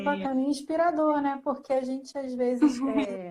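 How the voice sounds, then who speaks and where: A woman is speaking here. Her tone is dark and mellow. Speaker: librarian, social media host. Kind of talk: live stream interview host.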